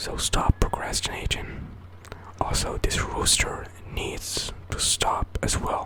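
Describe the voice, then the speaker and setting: Against noticeable background noise, a man whispers at a very slow pace. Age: 20s. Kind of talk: ASMR whisper ramble. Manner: whispered, soft-spoken.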